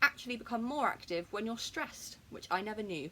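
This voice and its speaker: A woman speaks with a southern English accent at a fairly quick pace. Her pitch is fairly high, with lively intonation and an animated tone. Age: 20s. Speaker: vlogger. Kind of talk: personal story vlog. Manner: fast.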